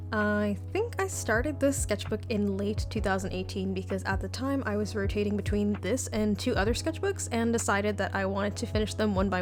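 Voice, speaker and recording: A woman with a very deep, low pitch and an American accent talks at a fairly quick pace in a monotone, flat intonation, with hardly any pauses and very even loudness, while music plays in the background. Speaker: illustrator. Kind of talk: casual voiceover for a draw-with-me video. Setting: studio. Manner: fast.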